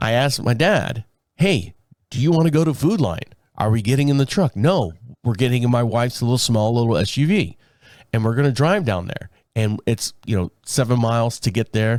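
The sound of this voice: Raspy and slightly mellow, a man talks with lively intonation. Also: medium pitch for a man, moderate pace.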